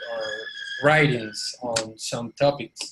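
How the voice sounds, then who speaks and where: A man with a fairly high voice and a non-native accent. He speaks at a very slow pace. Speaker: course student. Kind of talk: group discussion. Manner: halting.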